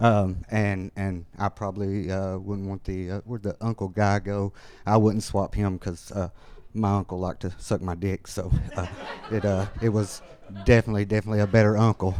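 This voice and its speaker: A man speaks with an Alabama accent at a moderate pace. His fairly low voice stays flat and monotone. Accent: Alabama Southern. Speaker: amateur stand-up comedian. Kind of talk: stand-up; casual interview chat. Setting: stage with live audience. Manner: halting, many fillers.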